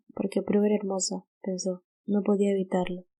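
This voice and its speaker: A woman in a Latin American accent, medium pitch, dark, mellow tone and fairly slow pace, in a dry, close sound with no echo. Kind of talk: audiobook narration.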